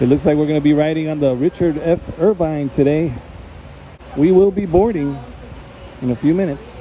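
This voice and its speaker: A man speaks at a fairly quick pace with ordinary pitch variation. The sound is dry with no echo, and light background noise is present. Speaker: vlogger. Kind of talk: casual vlog chat. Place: waterside. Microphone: phone near.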